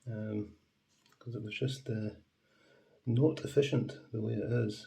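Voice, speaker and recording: A man with a fairly low pitch and a dark, mellow tone talks in a somewhat breathy voice with monotone, flat intonation. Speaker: model railway repairer. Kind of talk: casual talk to camera.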